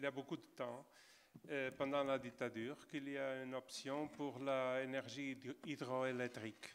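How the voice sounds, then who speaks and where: The man has a Portuguese accent and a fairly high pitch. He speaks at a fairly slow pace in a flat monotone. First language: Portuguese (speaking French). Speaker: geographer. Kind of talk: panel discussion. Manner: halting.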